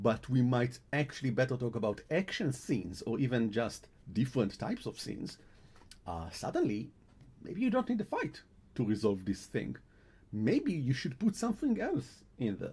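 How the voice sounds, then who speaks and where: A man with a non-native accent speaks at a moderate pace. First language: Hebrew. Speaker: game editor and translator. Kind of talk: live stream talk. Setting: live stream. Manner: halting, with restarts.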